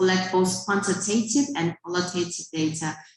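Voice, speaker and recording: Noticeable background noise and audible room echo surround a woman speaking at medium pitch and a moderate pace. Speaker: research fellow presenting at conference. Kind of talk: conference presentation.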